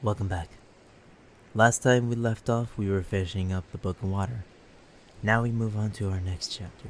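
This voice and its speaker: Soft-spoken, a man with a fairly low pitch talks at a moderate pace with fairly even intonation and long, frequent pauses. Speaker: ASMR creator. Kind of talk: sleep story reading.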